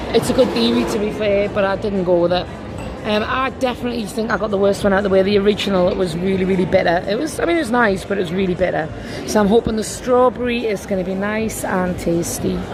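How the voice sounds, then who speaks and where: A woman talks at a very fast pace in a medium pitch with ordinary pitch variation. Noticeable background noise and audible room echo fill the recording. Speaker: travel vlogger. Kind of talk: casual chat.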